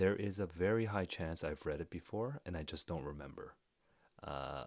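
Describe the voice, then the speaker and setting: This quiet man speaks at a moderate pace with a very deep, low pitch. His intonation is lively, and there is vocal fry. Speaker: literature reader reacting to a story. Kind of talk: live reading reaction. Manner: quiet indoor voice; hesitant, many fillers.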